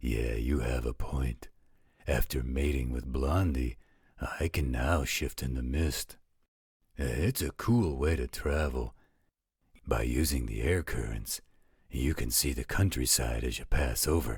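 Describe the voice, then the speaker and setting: A man puts on a character voice pitched very deep and low. He talks at a fairly slow pace with long, frequent pauses. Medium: audio drama. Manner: casual, joking.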